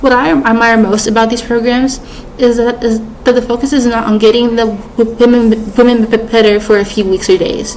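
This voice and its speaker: A woman talks at a moderate pace with fairly even intonation. Noticeable background noise runs underneath. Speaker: student. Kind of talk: persuasive speech. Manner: halting.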